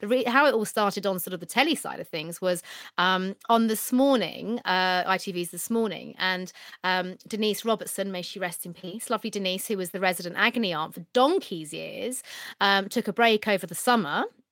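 Talking at a fairly quick pace, a woman with a British accent and medium pitch shows ordinary pitch variation and big swings in loudness. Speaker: TV presenter and dating expert. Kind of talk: casual chat, podcast interview. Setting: video call from home bedroom.

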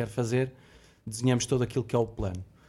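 A man with a Lisbon accent speaks at a very fast pace with fairly even intonation. His tone is dark, mellow and somewhat breathy. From Lisbon, Portugal. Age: 40s. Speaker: logistics warehouse director. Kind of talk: corporate podcast discussion.

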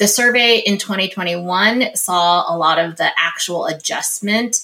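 A woman speaks in a fairly low pitch with ordinary pitch variation, using a plain, everyday voice. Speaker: company executive. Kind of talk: interview.

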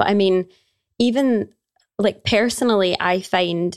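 Her Glaswegian accent comes through at a fairly slow pace. The woman's intonation stays fairly even. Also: dry, close sound with no echo. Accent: Glaswegian Scottish. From Scotland, Glasgow. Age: 20s. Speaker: yoga teacher and personal trainer. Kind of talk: casual chat.

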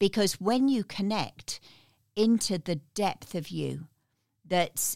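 A woman speaks with a British accent and ordinary pitch variation. The recording is very clean with a silent background, and the sound is dry and close with no echo. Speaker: guest coach and speaker. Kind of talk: storytelling interview.

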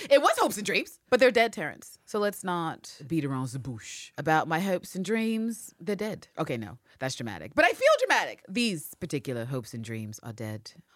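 The speaker has an animated tone and keeps a moderate pace with hardly any pauses. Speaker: podcast host. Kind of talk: casual chat. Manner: animated, profane, joking.

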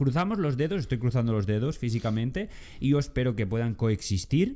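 A man with a dark, mellow tone and medium pitch speaks at a fairly quick pace with lively intonation. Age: young. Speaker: podcast co-host. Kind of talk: casual chat. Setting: new studio on sofas.

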